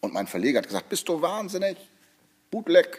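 A man's dark, mellow tone with vocal fry. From Hamburg, northern Germany. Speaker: music producer and composer. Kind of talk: interview. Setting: studio.

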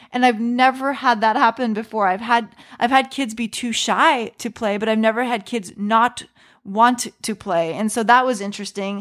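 A woman's fairly high-pitched, animated voice in a very clean recording with a silent background. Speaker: podcast host and creative coach. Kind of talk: solo podcast monologue. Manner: fast talker.

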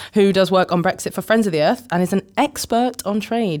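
At a fairly quick pace, a woman speaks at a medium pitch. It is a normal speaking voice. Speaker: podcast host. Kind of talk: podcast interview.

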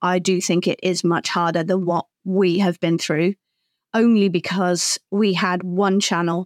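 In a dry, close recording with no echo, a woman with a British accent talks at a medium pitch in a monotone, flat delivery. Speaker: social media professional, co-host. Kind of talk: casual conversation.

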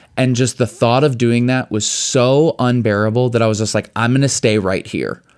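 With an American accent, a man in a plain, everyday voice speaks at a medium pitch and a moderate pace with fairly even intonation. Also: hardly any pauses. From Chicago suburbs, US Midwest. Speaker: spoken word poet and speaker, former Broadway actor. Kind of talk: interview conversation. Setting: studio.

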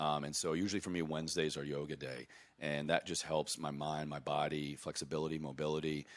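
With an American accent, a man talks at a fairly quick pace in a very deep, low voice with vocal fry and monotone, flat intonation. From US South, southwest Virginia. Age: 30s. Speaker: Army veteran and health coach. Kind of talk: casual interview.

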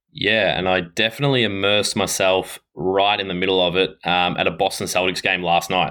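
Very deep and low, a man's voice moves at a fairly quick pace with hardly any pauses, very even loudness and fairly even intonation. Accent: Australian. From Australia, Ballarat, Victoria. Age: 20s. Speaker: racing cyclist. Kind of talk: interview. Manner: halting, many fillers.

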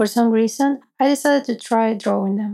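A woman with a dark, mellow tone and fairly high pitch speaks at a moderate pace with fairly even intonation. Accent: Spanish. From Venezuela. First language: Spanish. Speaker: app user sharing a personal story. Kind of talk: personal story narration.

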